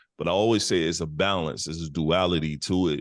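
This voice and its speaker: Very fast and very deep, a man's low-pitched voice keeps a fairly even intonation. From US Midwest, Detroit. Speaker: podcast co-host. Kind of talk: casual chat.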